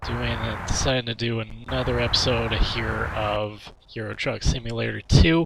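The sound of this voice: Using a raspy, put-on character voice, a man with a fairly low pitch speaks at a moderate pace.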